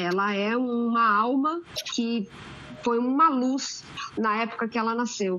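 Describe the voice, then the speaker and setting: A high-pitched woman at a fairly slow pace, amid noticeable background noise. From Santos, São Paulo state, Brazil. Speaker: geographer and waste sector technical coordinator. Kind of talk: panel discussion. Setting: podcast recording.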